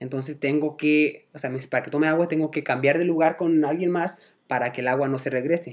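A fairly high-pitched man, fairly quick in pace, with fairly even intonation. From Guadalajara, Mexico. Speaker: podcast guest. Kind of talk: casual chat. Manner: halting.

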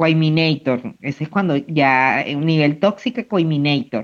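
Against a quiet background, a man talks in an unremarkable speaking voice. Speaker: podcast co-host. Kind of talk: casual chat.

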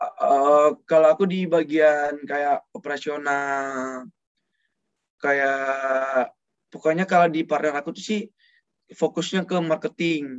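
This man's pitch sits fairly high. He talks at a very slow pace. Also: ordinary pitch variation. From Padang, West Sumatra. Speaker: student cosmetics business owner. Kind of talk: casual interview chat.

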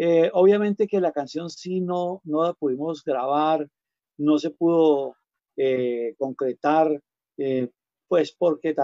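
Dark and mellow in tone, a man speaks at a very slow pace with a fairly high pitch. His pitch varies in an ordinary way, and the sound is dry and close with no echo. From Colombia, Huila. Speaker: singer-songwriter and music teacher. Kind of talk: interview conversation. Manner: halting.

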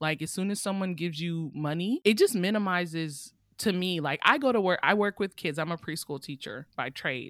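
In a very clean recording with a silent background and a dry, close sound with no echo, a woman with an American accent speaks at a fairly quick pace in an unremarkable speaking voice, her pitch fairly low, her intonation lively, with hardly any pauses. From Oakland, California. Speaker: author and beta reader. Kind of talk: casual interview chat.

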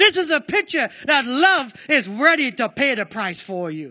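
A man with a raised, projected voice speaks at a fairly slow pace in a bright, sharp, animated and passionate tone, his pitch swinging very widely. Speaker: preacher. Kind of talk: sermon. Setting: church with congregation. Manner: animated, call-and-response, urging the congregation to answer; forceful, passionate.

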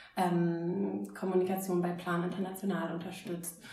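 A woman speaks at medium pitch in a monotone, flat way. Audible room echo and noticeable background noise fill the recording. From northern Germany, Oldenburg. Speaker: startup founder. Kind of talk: interview. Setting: recorded over drinks.

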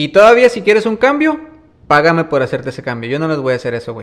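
A man's fairly high voice races along at a very fast pace with very wide pitch swings. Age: 30s. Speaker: musician and music producer. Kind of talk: casual interview. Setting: small snack shop. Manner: relaxed, colloquial.

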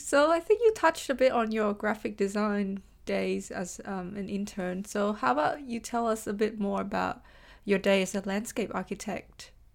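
A woman with a plain, everyday voice and a medium pitch speaks at a moderate pace with lively intonation. The recording is very clean, with a silent background. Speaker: podcast host. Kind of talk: casual interview.

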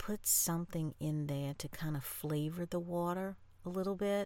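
Speaking at a moderate pace with lively intonation, a woman with an American accent is heard in a very clean recording against a silent background. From New Orleans, Louisiana. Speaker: podcaster. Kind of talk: casual monologue to listeners. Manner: animated.

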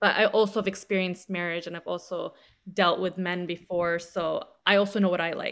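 Speaking fairly quickly, a woman keeps a medium pitch and a monotone, flat intonation. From Lebanese family. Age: 30s. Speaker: social media creator, single mother. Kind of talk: casual chat.

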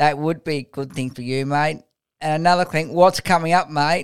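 The tone is clear and smooth, with ordinary pitch variation. Delivery moves at a moderate pace. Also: man, fairly high pitch for a man.

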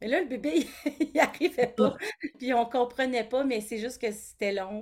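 In an unremarkable speaking voice, someone talks at a moderate pace with lively intonation, on a very clean recording with a silent background. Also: woman. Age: 40s. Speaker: college teacher and parent of a child with a rare syndrome. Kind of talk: interview testimony.

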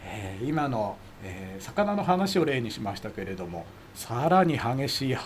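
Medium pitch with very wide pitch swings from a man at a moderate pace, amid noticeable background noise. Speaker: amateur radio expert commentator. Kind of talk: explanatory casual chat.

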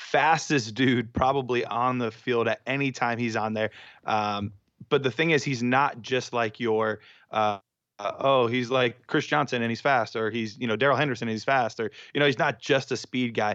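At a moderate pace, a man talks in a normal speaking voice at a medium pitch with fairly even intonation over a quiet background. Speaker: dynasty fantasy football analyst. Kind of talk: casual banter and discussion.

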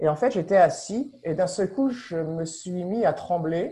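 This man's voice sits high in pitch, with a dark, mellow tone, ordinary pitch variation and a fairly slow pace. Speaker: explorer and meaning-in-life speaker. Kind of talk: webinar interview, personal storytelling. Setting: online webinar.

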